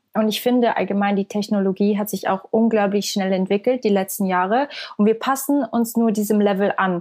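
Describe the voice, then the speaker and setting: Using a plain, everyday voice, a woman speaks at a fairly quick pace and medium pitch, with fairly even intonation and very even loudness. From Switzerland. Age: 20s. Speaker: singer and content creator. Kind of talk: interview conversation.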